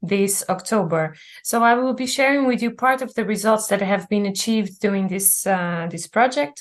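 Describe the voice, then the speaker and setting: A woman with a Portuguese accent, fairly high in pitch, at a moderate pace against a quiet background. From Azores, Portugal. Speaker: research officer. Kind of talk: webinar presentation. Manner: halting.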